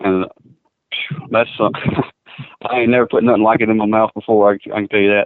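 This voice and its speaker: Here a man speaks with a Kentucky accent at a fairly low pitch. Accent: southern US (Kentucky). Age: 20s. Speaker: bull rider. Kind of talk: phone interview. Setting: phone call.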